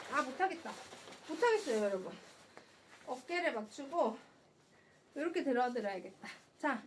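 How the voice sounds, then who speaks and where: Through noticeable background noise, a woman speaks at a high pitch with very wide pitch swings and long, frequent pauses. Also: moderate pace. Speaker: live shopping host. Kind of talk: live sales stream. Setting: live stream on camera. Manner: animated.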